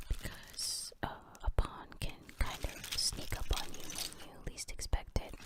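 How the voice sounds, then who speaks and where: The speaker whispers at a fairly slow pace. There is noticeable background noise. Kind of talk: ASMR chess tutorial. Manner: whispered.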